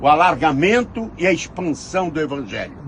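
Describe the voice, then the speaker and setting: Noticeable background noise and audible room echo surround the recording. A man speaks with lively intonation. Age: 70s. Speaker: pastor. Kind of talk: sermon.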